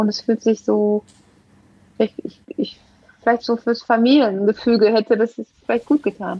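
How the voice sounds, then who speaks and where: Her voice is fairly high for a woman, with a dark, mellow tone. She leaves long, frequent pauses. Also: ordinary pitch variation, moderate pace. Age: 40s. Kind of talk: testimony. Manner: halting.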